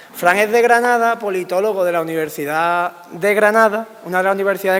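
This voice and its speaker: Through noticeable background noise, a high-voiced man speaks at a fairly quick pace with fairly even intonation. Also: hardly any pauses. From Andalusia, Spain. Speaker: political scientist. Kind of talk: public lecture.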